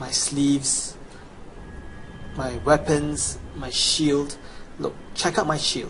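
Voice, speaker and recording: Very slow speech in a Chinese accent, with fairly even intonation, big swings in loudness, long and frequent pauses, and noticeable background noise. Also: man, fairly high pitch for a man. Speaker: gamer. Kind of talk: sales pitch.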